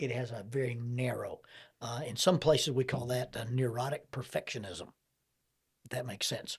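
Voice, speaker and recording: Somewhat breathy, a man speaks at a medium pitch and moderate pace with fairly even intonation. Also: big swings in loudness. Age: 60s. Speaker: counselor and podcast host. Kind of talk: interview conversation.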